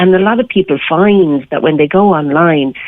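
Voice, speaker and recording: A woman speaks in a fairly low voice with an Irish accent and lively intonation. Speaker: matchmaker. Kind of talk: radio interview.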